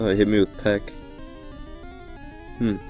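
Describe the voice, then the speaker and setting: A man is speaking. Music plays in the background. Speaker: video game streamer. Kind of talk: casual gameplay commentary.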